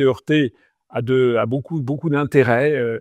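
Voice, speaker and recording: A man talks at a moderate pace. He has an ordinary speaking voice with ordinary pitch variation. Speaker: politician and interviewer. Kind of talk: interview introduction to camera.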